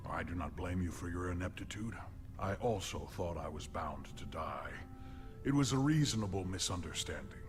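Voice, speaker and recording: A man in a put-on character voice with a very deep, low pitch, at a moderate pace over loud music in the background. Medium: video game. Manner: formal, deadpan, literal.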